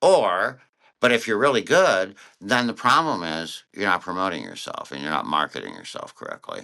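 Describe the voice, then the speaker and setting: In a very deep, low pitch, a man speaks with vocal fry at a moderate pace. His tone is bright and sharp. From Connecticut, US. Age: 60s. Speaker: cartoonist and author. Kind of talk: interview.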